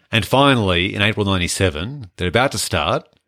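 Recorded with a dry, close sound with no echo and a very clean, silent background, a man with an Australian accent speaks with lively intonation. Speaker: film podcast host. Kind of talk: casual chat.

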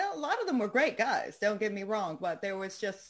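A woman speaks in a normal speaking voice with lively intonation. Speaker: founder of a women's advocacy group, artist. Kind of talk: radio interview.

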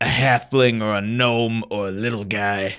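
In a put-on character voice, a man speaks at a moderate pace with a medium pitch. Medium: actual play. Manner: curt, bossy.

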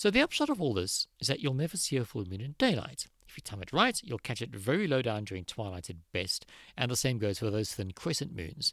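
A man speaks at a fairly quick pace in a plain, everyday voice, on a very clean recording with a silent background. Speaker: podcast host. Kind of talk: science explainer monologue.

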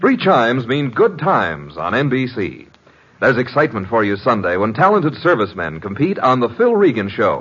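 At a moderate pace, a man with vocal fry speaks at medium pitch, making very wide pitch swings. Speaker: radio announcer. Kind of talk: old-time radio announcement. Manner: bright, theatrical, enthusiastic.

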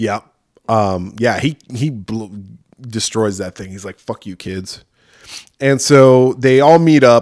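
On a very clean recording with a silent background, the dry, close sound with no echo carries a very slow delivery with long, frequent pauses, ordinary pitch variation and big swings in loudness. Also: man, medium pitch for a man. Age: 40s. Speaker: horror podcast host. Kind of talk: casual chat.

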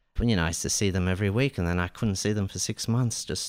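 A man with an Australian accent on a very clean recording with a silent background. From Iran, raised in Melbourne. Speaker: jazz saxophonist and composer. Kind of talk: radio interview, casual chat. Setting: radio studio. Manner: warm, polite, thoughtful.

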